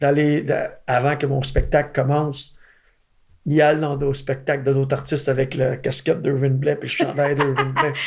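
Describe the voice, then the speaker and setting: A man with an eastern Quebec accent speaks at a moderate pace and fairly high pitch. His voice is somewhat breathy, with monotone, flat intonation. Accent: Gaspésie French. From Gaspésie, Quebec. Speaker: country singer. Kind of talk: interview.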